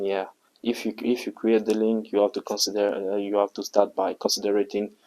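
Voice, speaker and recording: A man with a Congolese accent, dark, mellow tone, monotone, flat intonation and fairly quick pace, in a dry, close, echo-free, very clean recording with a silent background. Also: fairly low pitch for a man. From Republic of the Congo. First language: French. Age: young. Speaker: university student. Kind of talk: interview answer.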